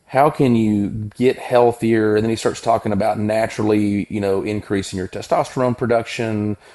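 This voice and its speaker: In an American accent, a man with a normal speaking voice talks at a moderate pace and fairly low pitch, with fairly even intonation. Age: 40s. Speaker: physician. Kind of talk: interview conversation.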